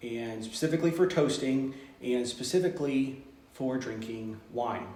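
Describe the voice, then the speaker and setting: Amid audible room echo and noticeable background noise, a man with a Texas accent speaks at a moderate pace and medium pitch with ordinary pitch variation. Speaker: teacher leading a study group. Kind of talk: informal group lesson. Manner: halting, many fillers.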